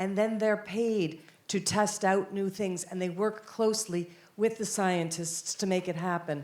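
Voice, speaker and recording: A woman with an American accent has a plain, everyday voice at medium pitch. She talks at a moderate pace with fairly even intonation. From United States. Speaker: conference panelist. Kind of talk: panel discussion.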